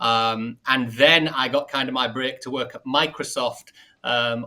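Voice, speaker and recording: A man speaks at a medium pitch in a bright, sharp tone. The recording is very clean with a silent background. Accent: northern English. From northern England. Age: 40s. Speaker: marketing executive. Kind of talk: podcast interview.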